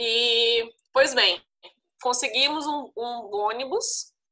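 A woman's voice sits fairly high, with a bright, sharp tone. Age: 30s. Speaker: former travel blogger and volunteer teacher. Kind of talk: interview, personal storytelling.

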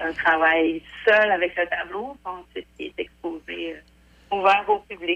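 A woman's medium-pitched voice at a very slow pace, with ordinary pitch variation and big swings in loudness. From Quebec, Portneuf. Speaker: painter. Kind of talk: interview. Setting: phone call.

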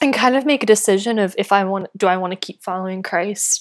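A woman with an American accent and a normal speaking voice talks at a fairly quick pace and a medium pitch with ordinary pitch variation, in a very clean recording with a silent background. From US South, North Carolina. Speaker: author and public policy worker. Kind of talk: interview conversation.

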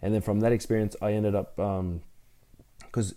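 This man talks fairly quickly with an Australian accent, his fairly low voice dark and mellow in tone and his intonation monotone and flat. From Brisbane, Australia. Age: 30s. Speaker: CrossFit athlete and gym owner. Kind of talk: casual interview.

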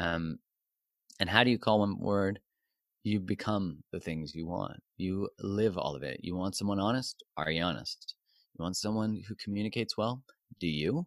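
In a very clean recording with a silent background and a dry, close sound with no echo, a man with a Canadian accent and a normal speaking voice talks at a moderate pace and fairly low pitch with ordinary pitch variation. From Canada. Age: 40s. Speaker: relationship coach. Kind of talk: interview.

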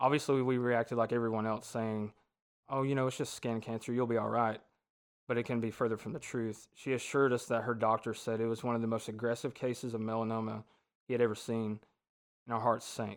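With a Southern US accent, a man speaks very fast at a medium pitch in a flat monotone, on a very clean recording with a silent background. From US South, north Georgia. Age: 20s. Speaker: guest sharing personal faith story. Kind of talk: testimony.

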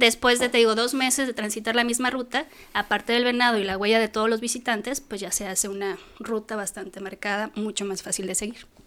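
Fairly quick and fairly even in intonation, a woman with a plain, everyday voice talks at a fairly high pitch. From Mexico City. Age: 40s. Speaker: mountaineer. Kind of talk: interview.

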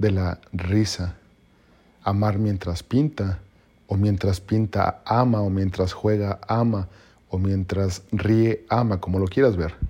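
A man's fairly low voice at a very slow pace. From Mexico. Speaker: podcaster. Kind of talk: motivational monologue. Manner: halting; passionate.

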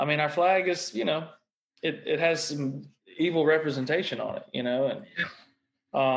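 With a Southern US accent, a man talks at a moderate pace using fairly even intonation. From Mississippi. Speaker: podcast co-host. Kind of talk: casual chat.

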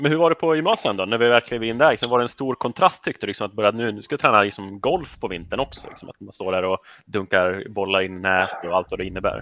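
In a very clean, dry, close recording with no echo and a silent background, a man speaks very fast with hardly any pauses, a fairly low pitch, a bright, sharp tone, lively intonation and big swings in loudness. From Sweden, Rättvik. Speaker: podcast host. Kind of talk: casual interview.

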